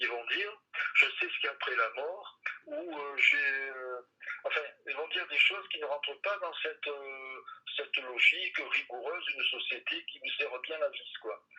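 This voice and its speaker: Here a man talks at a fairly slow pace. His loudness swings widely. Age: 60s. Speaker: embalmer and author. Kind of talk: interview. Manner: halting.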